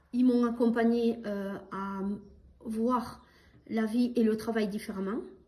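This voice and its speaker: A woman's fairly high, dark, mellow voice at a very slow pace, with long, frequent pauses, fairly even intonation and audible room echo. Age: 60s. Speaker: childcare center director. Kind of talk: testimony. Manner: halting.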